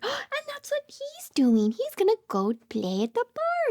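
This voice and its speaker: A woman speaks in an extremely high, squeaky voice at a fairly slow pace. The sound is dry and close, with no echo. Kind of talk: toddler read-aloud. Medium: read story. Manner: animated, encouraging, frequent gasps.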